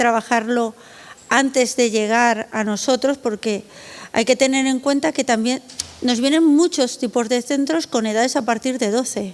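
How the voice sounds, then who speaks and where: Moderately paced speech from a woman, high in pitch, with ordinary pitch variation. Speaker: art foundation director. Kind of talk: conference panel talk. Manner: conversational with fillers.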